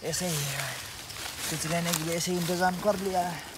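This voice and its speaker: Noticeable background noise sits under a man speaking at a fairly slow pace. The sound is dry with no echo. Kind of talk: casual vlog chat. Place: forest. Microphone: phone near.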